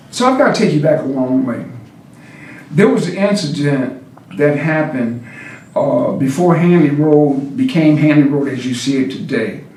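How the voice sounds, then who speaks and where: Over noticeable background noise and audible room echo, a man with a fairly high voice talks at a moderate pace with ordinary pitch variation. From Cuba-born, raised in St. Louis area, US Midwest. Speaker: mayor. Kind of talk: interview. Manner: halting, many fillers.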